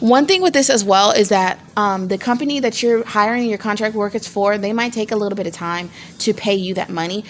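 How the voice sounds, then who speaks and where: Against noticeable background noise, a woman speaks fairly quickly, her pitch varying in an ordinary way. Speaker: small business vlogger. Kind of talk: tutorial. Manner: fast; casual, many fillers and restarts.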